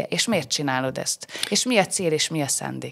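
Vocal fry runs through lively intonation against a quiet background. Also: woman. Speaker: podcast host. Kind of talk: casual interview. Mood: warm, curious. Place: studio. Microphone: studio mic.

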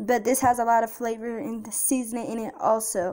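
A woman talking, with a light layer of noise behind her. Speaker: home cook vlogger. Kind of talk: casual vlog tutorial. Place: kitchen. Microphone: phone near.

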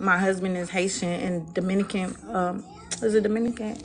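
With music in the background, a woman speaks at a moderate pace and fairly even intonation. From US South. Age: 30s. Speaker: dating show participant, mother, financial services businesswoman. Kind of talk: casual chat. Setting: video call on a livestream. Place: home room. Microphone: phone near.

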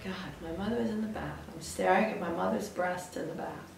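With audible room echo and light background noise, a woman talks at a moderate pace. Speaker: interviewee. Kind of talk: personal anecdote, interview answer. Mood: amused, laughing often. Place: studio.

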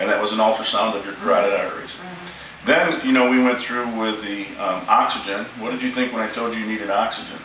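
With light background noise and audible room echo, a man talks at a very fast pace. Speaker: chiropractor. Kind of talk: interview questions to patient. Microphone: camera far.

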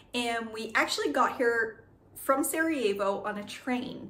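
Audible room echo is present. The voice belongs to a woman. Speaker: travel vlogger. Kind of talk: casual vlog chat. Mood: cheerful, animated. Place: home room. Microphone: phone near.

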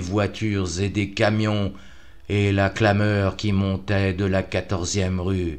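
A man's very slow, dramatic, intense delivery, fairly low in pitch and flat, monotone in intonation. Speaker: audiobook-style narrator. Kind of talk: horror literary reading, first-person narration of a Lovecraft tale. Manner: dramatic, intense, with a tense, breathless delivery at climaxes.

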